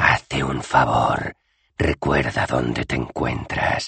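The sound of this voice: A man's put-on character voice, very deep and low, raspy and hissing, at a very slow pace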